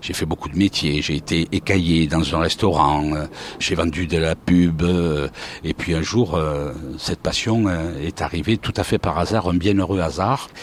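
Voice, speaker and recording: A man speaks at a fairly slow pace in a very deep, low voice with ordinary pitch variation, over noticeable background noise. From southern France, Montpellier. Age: 60s. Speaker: retired sports commentator. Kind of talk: interview, life story. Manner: hesitant, frequent 'euh' fillers.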